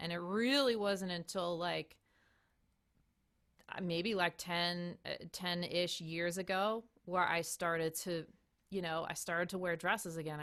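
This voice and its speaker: In a plain, everyday voice, a woman with a fairly low pitch speaks at a moderate pace and fairly even intonation on a very clean recording with a silent background. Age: 40s. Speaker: saxophonist. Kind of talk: casual chat.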